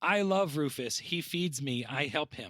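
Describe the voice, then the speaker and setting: A put-on character voice moves at a moderate pace in a very clean recording with a silent background. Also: man. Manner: cute, simple.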